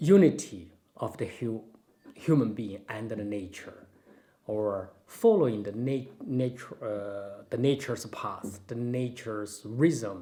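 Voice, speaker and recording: A man's dark, mellow tone at a medium pitch, with ordinary pitch variation, a very slow pace and big swings in loudness. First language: Chinese. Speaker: Tai Chi and Taoism master. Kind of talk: casual Q&A chat. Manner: halting, with many fillers.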